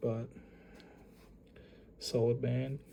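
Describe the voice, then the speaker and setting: A man with a dark, mellow tone speaks somewhat breathily in a monotone, flat intonation. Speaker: YouTuber, card collector. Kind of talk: casual unboxing commentary. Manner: casual, hesitant with fillers.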